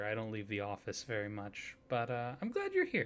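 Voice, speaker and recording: A soft-spoken man at a fairly quick pace. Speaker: ASMR roleplay performer, card shop or company clerk character. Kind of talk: customer service roleplay greeting. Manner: soft-spoken, friendly.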